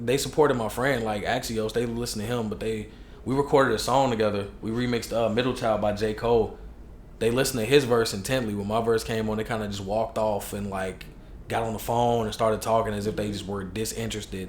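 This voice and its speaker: Very fast and monotone, a man speaks at a medium pitch with flat intonation. Audible room echo surrounds his voice. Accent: American. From Chicago, US. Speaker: hip hop artist. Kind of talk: casual chat. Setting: podcast interview.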